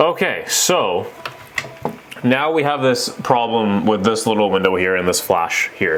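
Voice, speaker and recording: A man speaks at a fairly slow pace. Room echo is audible, and the background noise is noticeable. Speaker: real estate photographer, vlogger. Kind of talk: tutorial. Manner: casual, halting.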